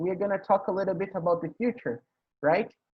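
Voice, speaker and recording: A man with a Portuguese accent speaks at a high pitch. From Brazil. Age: 20s. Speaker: English teacher hosting a conversation meeting. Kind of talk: casual online group conversation.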